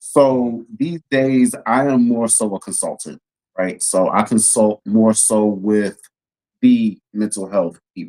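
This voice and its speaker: A man with an American accent, medium in pitch, dark and mellow in tone, very slow in pace, in a dry, close sound with no echo. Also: ordinary pitch variation. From Texas, Houston. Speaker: policy consultant, Navy veteran. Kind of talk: casual chat.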